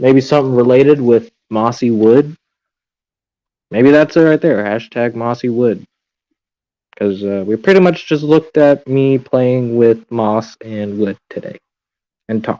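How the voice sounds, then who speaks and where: This man has a dark, mellow tone and a medium pitch. He speaks at a fairly slow pace with long, frequent pauses. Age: 20s. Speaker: aquarium hobbyist livestreamer. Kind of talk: casual livestream chat. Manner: monotone.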